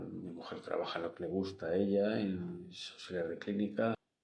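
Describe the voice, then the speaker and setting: Audible room echo surrounds a man who speaks at a fairly slow pace in a monotone, flat intonation. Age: 70s. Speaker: engineer and teacher, interviewee. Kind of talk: interview. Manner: halting.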